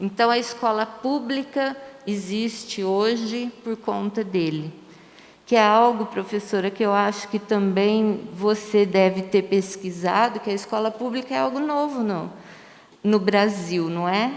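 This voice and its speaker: Through noticeable background noise, a woman talks at a fairly slow pace in a fairly high voice. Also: ordinary pitch variation. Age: 60s. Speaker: retired teacher. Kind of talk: panel discussion. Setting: livestream on social media.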